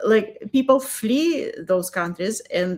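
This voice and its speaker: A woman talks at a moderate pace. She speaks with a Russian accent. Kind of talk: casual interview chat.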